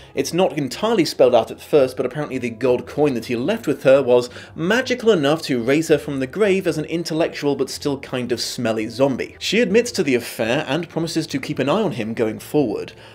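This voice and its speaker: Talking fairly quickly with hardly any pauses, a man with a British accent uses a fairly high pitch and lively intonation. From Britain. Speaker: YouTube video essayist. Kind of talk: scripted narration. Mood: wry, sarcastic.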